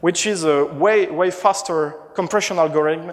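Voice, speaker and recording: Here a man with a French accent speaks at a fairly high pitch and a moderate pace, with ordinary pitch variation. There is noticeable background noise. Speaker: conference speaker, marketing manager. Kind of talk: conference talk. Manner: halting, many fillers and restarts.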